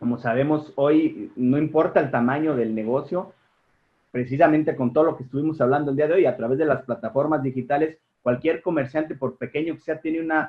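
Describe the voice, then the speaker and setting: A man with a fairly high pitch, an unremarkable speaking voice, fairly even intonation and a fairly quick pace. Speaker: tax law professor. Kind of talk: webinar panel remarks.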